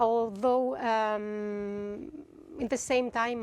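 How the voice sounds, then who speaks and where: Her intonation fairly even, a woman with a Greek accent speaks at a fairly high pitch. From Greece. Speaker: composer. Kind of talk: masterclass talk.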